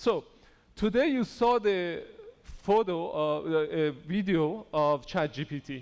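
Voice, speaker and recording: A man with a Persian accent speaks at a high pitch, his voice making very wide pitch swings. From Iran. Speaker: conference speaker on AI in engineering. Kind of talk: conference talk. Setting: stage with audience.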